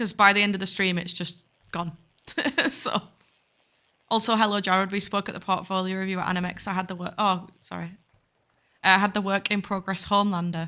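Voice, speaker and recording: A woman talks at a fairly quick pace and a medium pitch. Her tone is bright and sharp. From northern England, Bradford, Yorkshire. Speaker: game studio CEO, streamer. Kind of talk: casual chat, live stream Q&A. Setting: live stream while playing a game.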